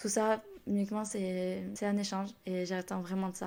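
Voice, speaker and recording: The voice has a dark, mellow tone and monotone, flat intonation, captured in a very clean recording with a silent background. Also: woman. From southern France, Toulouse area. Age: 20s. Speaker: podcast host. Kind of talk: casual solo podcast talk. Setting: home recording at computer. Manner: very fast.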